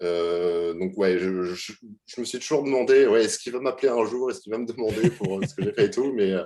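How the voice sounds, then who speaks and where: A man speaks at a medium pitch with a dark, mellow tone. His intonation is lively and his pace fairly quick. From France, Normandy (Le Havre). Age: 20s. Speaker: UX/UI designer. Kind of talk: interview. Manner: halting, many fillers.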